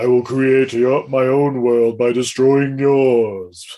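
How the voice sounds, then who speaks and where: A man uses a put-on character voice at medium pitch. He speaks at a very slow pace. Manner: serious, intimidating.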